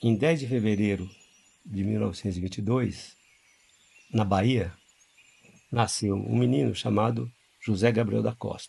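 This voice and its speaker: A man's fairly low, somewhat breathy voice with a dark, mellow tone, lively intonation, moderate pace and long, frequent pauses. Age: 60s. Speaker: religious group leader. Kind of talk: storytelling interview. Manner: halting.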